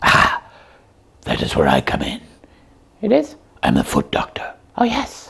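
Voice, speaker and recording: Putting on a cartoonish character voice, a man speaks with long, frequent pauses. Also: moderate pace. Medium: puppet show. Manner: naive, questioning.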